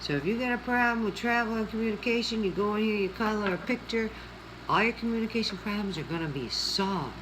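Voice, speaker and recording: A woman at a medium pitch talks at a fairly quick pace, with audible room echo and noticeable background noise. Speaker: coloring video creator. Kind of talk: casual chat while coloring. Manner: chatty, conversational.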